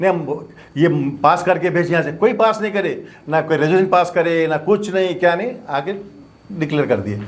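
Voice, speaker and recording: A high-pitched male voice with ordinary pitch variation at a moderate pace. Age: 70s. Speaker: doctor and former mosque committee president. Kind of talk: press statement. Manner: animated.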